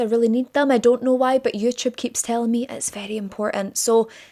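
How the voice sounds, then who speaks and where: Talking at a fairly quick pace in a Scottish accent, a woman with a fairly high pitch sounds animated, her pitch varying in an ordinary way. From Scotland. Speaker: true crime youtuber. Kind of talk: casual vlog-style monologue. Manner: chatty, animated.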